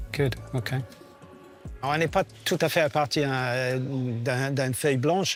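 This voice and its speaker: A man talks at a fairly slow pace, his pitch medium. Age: 60s. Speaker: technical director of a rally team. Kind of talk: documentary interview, technical explanation. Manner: hesitant, many filler sounds.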